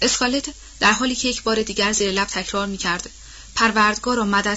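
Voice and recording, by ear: The voice reads aloud in a natural voice. Its intonation is fairly even.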